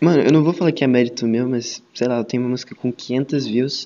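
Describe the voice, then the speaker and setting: At a fairly quick pace, a man with medium pitch speaks in an ordinary speaking voice, his intonation fairly even. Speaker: podcast host. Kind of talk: casual chat.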